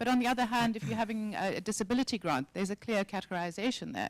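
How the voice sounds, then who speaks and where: Speaking very fast, a woman uses a medium pitch with ordinary pitch variation. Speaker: civil society advocate, fishbowl debate participant. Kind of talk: panel debate.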